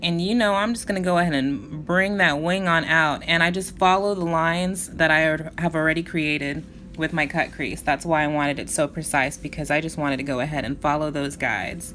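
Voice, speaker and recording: A woman's very deep, low voice with a bright, sharp tone, ordinary pitch variation, a fairly quick pace and hardly any pauses. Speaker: beauty vlogger. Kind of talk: makeup tutorial. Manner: casual, chatty; fast.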